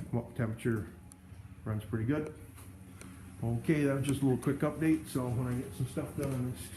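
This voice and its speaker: A man's dark, mellow, somewhat breathy voice at a fairly quick pace, with long, frequent pauses and ordinary pitch variation. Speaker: snow plowing business owner. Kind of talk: casual vlog walkthrough. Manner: halting, stammering.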